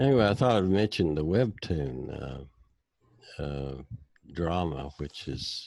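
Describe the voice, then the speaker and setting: At a fairly slow pace, a man with an American accent speaks in a very deep, low pitch with very wide pitch swings. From United States. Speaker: personality type instructor. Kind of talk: casual chat.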